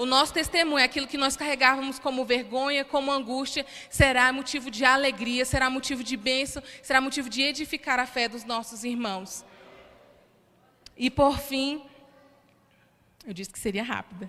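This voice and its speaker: A woman speaks at a moderate pace in a raised, projected, high voice, with fairly even intonation, big swings in loudness, and long, frequent pauses. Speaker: preacher. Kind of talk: sermon. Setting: church.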